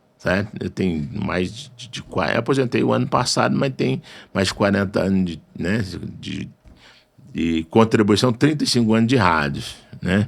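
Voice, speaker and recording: A man with a fairly low pitch and vocal fry speaks at a moderate pace. His pitch makes very wide swings, and his loudness swings widely too. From Brazil, northern Minas Gerais. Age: 60s. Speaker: radio station owner and journalist. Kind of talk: interview conversation.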